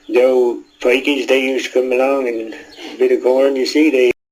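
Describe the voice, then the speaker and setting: With noticeable background noise behind him, a man speaks at a moderate pace in a fairly high pitch, his intonation fairly even. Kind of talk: interview answer.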